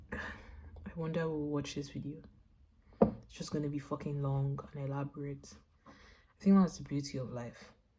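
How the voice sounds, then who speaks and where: With a very deep, low pitch and a dark, mellow tone, a woman speaks somewhat breathily at a moderate pace, her loudness swinging widely. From Nigeria (Lagos). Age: 20s. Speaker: visual artist vlogger. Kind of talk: casual vlog monologue. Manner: animated, conversational.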